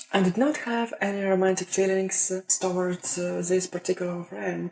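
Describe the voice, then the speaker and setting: A woman's medium-pitched voice with a Russian accent. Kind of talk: casual talk to camera.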